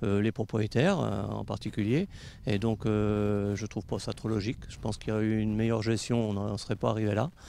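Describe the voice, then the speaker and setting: Over light background noise, a man with a dark, mellow tone speaks at a fairly low pitch and a fairly quick pace, with fairly even intonation and a dry sound that has no echo. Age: 60s. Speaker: horse racing trainer, election candidate; election candidate. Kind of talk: interview. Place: open country. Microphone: handheld.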